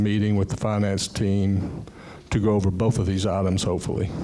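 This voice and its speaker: A man's fairly low-pitched, monotone voice with flat intonation at a fairly quick pace, over noticeable background noise. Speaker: condo board member. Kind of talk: board meeting report.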